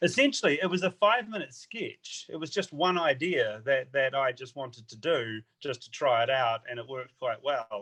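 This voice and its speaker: A man's fairly high voice, bright and sharp in tone, with lively intonation and big swings in loudness. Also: moderate pace, hardly any pauses. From New Zealand, small town. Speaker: comedian. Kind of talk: interview.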